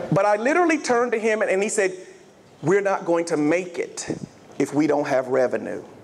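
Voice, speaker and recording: With a Southern US accent, a man talks at a fairly quick pace in a high pitch, his animated tone making very wide pitch swings while his loudness stays very even over noticeable background noise. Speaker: health insurance sales executive. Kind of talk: motivational keynote speech. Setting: stage with audience.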